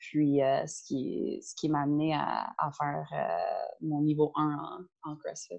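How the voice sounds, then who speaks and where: A woman speaks at a very slow pace with hardly any pauses. Her loudness swings widely. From Ontario, outside Toronto. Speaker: CrossFit coach and nutritionist. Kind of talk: casual interview.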